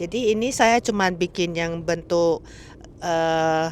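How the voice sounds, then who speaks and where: Speaking at a fairly slow pace, a woman with a non-native accent uses ordinary pitch variation. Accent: non-fluent Indonesian. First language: Mandarin or English (speaking Indonesian). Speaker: cooking vlogger. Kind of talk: cooking tutorial. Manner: halting, with fillers; casual, friendly.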